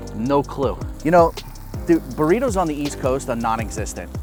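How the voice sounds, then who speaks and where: Music in the background beneath a man's fairly quick speech. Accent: New York. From Queens, New York. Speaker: cooking show host. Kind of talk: casual cooking show talk. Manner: joking, casual.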